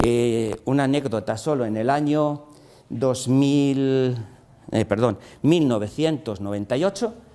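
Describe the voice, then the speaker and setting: A man speaks at a very slow pace in a medium pitch. His tone is dark and mellow. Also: ordinary pitch variation. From Spain. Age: 60s. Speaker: engineer and entrepreneur. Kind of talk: lecture. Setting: classroom masterclass for teachers. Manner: halting, many fillers and repetitions.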